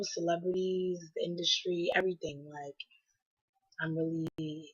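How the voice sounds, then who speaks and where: The speech unfolds at a very slow pace. Its intonation stays fairly even. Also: woman. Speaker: vlogger. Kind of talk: casual chat. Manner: casual, filler-heavy.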